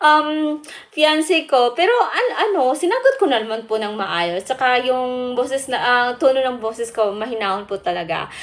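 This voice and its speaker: Talking at a moderate pace with hardly any pauses, a woman uses a high pitch and lively intonation. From Philippines, Bukidnon, Mindanao. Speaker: vlogger. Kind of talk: casual vlog talk. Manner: halting, with fillers.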